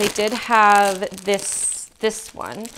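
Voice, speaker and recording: Clearly audible background noise sits under the speech. The speaker is a woman with a medium pitch. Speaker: plant content creator. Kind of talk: casual haul video talk. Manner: casual, filler-heavy.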